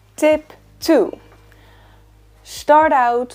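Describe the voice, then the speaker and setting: A woman's dark, mellow tone with a Dutch accent. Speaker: book YouTuber. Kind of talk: tutorial.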